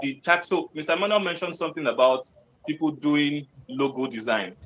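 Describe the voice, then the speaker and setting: A man with an ordinary speaking voice talks at a fairly quick pace. His fairly high pitch moves with lively intonation. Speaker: webinar speaker on freelancing. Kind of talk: webinar presentation.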